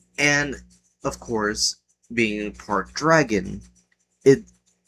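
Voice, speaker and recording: Quiet and at a very slow pace, a man speaks. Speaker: gaming youtuber. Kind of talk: casual commentary. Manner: quiet, kept down; hesitant, with fillers.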